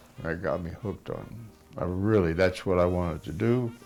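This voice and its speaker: Over music in the background, a man with a very deep, low pitch and an American accent talks with ordinary pitch variation. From US Midwest, central Ohio. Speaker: actor, war veteran. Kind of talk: documentary interview.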